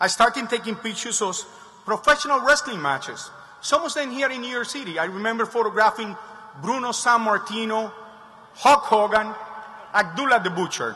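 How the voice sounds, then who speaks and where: A man talks in a raised, projected voice at a fairly quick pace, his pitch extremely high and its variation ordinary. Long, frequent pauses break up his speech over noticeable background noise. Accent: Spanish. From Cuba, then Spain and Miami. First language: Spanish. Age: 50s. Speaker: commencement speaker, photographer. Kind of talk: commencement speech. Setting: stage with large audience.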